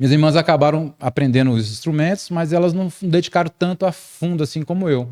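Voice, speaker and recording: In a dark, mellow tone, a fairly high-voiced man rushes along at a very fast pace with hardly any pauses and ordinary pitch variation. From Brazil, Brasília (Federal District). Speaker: musician and audio/acoustics specialist. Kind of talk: interview podcast conversation.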